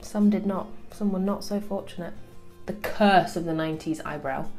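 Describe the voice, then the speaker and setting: Music plays in the background behind a speaker with a British accent. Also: woman. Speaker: beauty vlogger. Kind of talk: makeup tutorial talk to camera.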